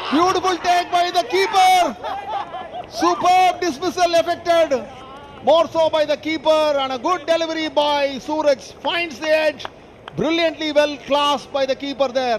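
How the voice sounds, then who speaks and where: Amid noticeable background noise, a man with an Indian accent speaks at an extremely high pitch with ordinary pitch variation. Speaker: cricket commentator. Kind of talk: live sports commentary. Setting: stadium broadcast commentary. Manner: formal, polished English with cricket clichés.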